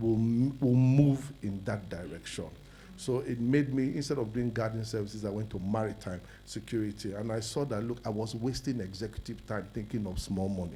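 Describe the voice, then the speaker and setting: Somewhat breathy with a dark, mellow tone, a man speaks at a fairly quick pace in a fairly low pitch with ordinary pitch variation. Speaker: businessman, summit speaker. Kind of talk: personal testimony talk.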